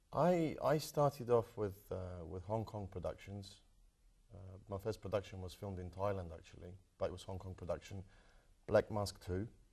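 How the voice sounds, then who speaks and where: A man's fairly low, somewhat breathy voice with a British accent and a dark, mellow tone, at a moderate pace with ordinary pitch variation and big swings in loudness. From London, England (moved from Croatia at 12). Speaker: martial arts film actor. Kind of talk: interview. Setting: TV studio.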